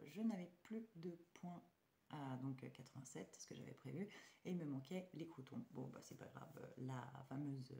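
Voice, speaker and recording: A woman's very deep, low voice with a dark, mellow tone, vocal fry, lively intonation and a fairly slow pace. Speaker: budgeting vlogger. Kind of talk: casual vlog. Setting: at home at night. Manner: hesitant, many fillers.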